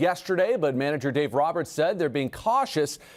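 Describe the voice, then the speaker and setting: With an upbeat tone, a man speaks at a fairly high pitch and swings it very widely. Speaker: sports news anchor. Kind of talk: TV sports news broadcast. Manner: upbeat, fast, conversational.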